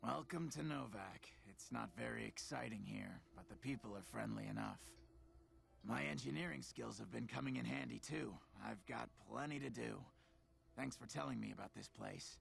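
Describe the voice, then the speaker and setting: Over clear background noise, a man in a put-on character voice speaks raspy and very deep, low, at a moderate pace. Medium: video game. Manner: friendly, upbeat.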